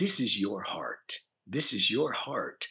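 A man puts on a raspy character voice. He speaks at a fairly slow pace. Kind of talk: soothing, explanatory.

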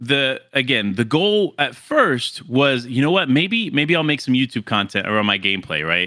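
This man has an American accent and a medium pitch, speaking at a moderate pace. His pitch swings very widely. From Florida. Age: 20s. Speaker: gaming content creator. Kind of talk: casual chat.

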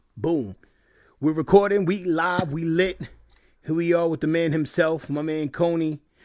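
A man with an American accent, an ordinary speaking voice, fairly high pitch and a moderate pace. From New York. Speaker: podcast co-host. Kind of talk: casual chat.

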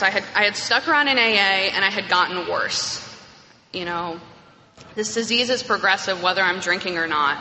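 At a moderate pace, a woman speaks in a normal speaking voice with lively intonation. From New York. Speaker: AA speaker. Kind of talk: testimony. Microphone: echoey room.

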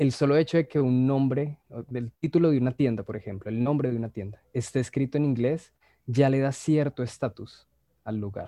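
At a moderate pace, a man speaks with a dark, mellow tone at a medium pitch, with ordinary pitch variation and a dry, close sound with no echo. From Colombia, Bogotá. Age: 20s. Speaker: language teacher. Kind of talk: casual chat.

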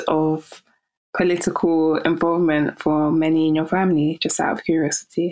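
A woman speaks with monotone, flat intonation at a fairly low pitch. Her pace is moderate. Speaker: podcast host. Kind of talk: casual interview.

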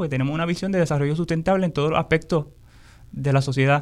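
The voice belongs to a man. His intonation is fairly even. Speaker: agroecology educator. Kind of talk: interview.

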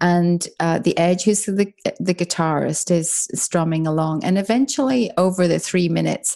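In an Irish accent, a woman with a dark, mellow tone and a fairly low pitch speaks at a moderate pace with fairly even intonation. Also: very clean recording, silent background. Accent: soft Irish. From Ireland, Dublin. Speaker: author and business mentor. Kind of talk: interview conversation.

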